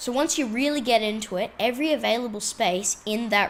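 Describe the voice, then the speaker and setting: Speaking in an Australian accent, a woman sounds animated, keeping a moderate pace and ordinary pitch variation. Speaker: tarantula keeper and video blogger. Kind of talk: casual vlog. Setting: indoors while traveling abroad. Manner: casual, animated.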